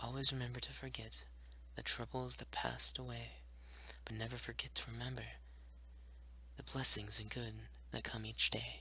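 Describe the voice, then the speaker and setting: Amid noticeable background noise, a man with a very deep, low pitch speaks in a flat monotone, with long, frequent pauses. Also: moderate pace. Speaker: ASMR creator. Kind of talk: ASMR poetry reading. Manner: whispered, soft-spoken.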